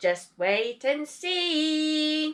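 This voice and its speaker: A woman puts on a squeaky character voice with a high pitch. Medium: read story.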